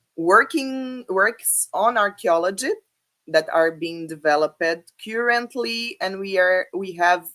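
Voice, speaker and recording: A woman's bright, sharp tone with a Brazilian Portuguese accent, lively intonation and a very slow pace. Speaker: academic speaker. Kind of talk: conference talk. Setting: online video presentation. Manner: halting, many fillers.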